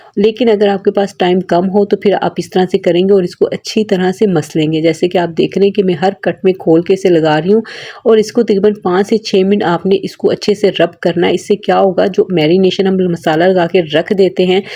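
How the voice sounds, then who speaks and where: At a moderate pace and with hardly any pauses, a woman speaks at a medium pitch in a dark, mellow tone. Her intonation is fairly even and her loudness very even. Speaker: cooking channel host. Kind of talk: cooking tutorial.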